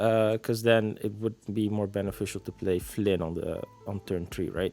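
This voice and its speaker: Music plays in the background. A man talks in a fairly low pitch with fairly even intonation. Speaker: card game content creator. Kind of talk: casual gameplay commentary.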